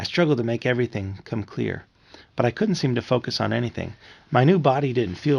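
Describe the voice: The text is read aloud plainly. Nothing more than plain reading is heard.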